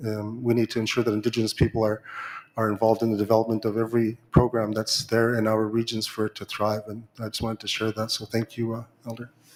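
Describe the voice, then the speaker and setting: A man's medium-pitched, very fast monotone with flat intonation, over noticeable background noise. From Arctic Inuit region. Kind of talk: conference floor remarks. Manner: halting, many fillers and repetitions.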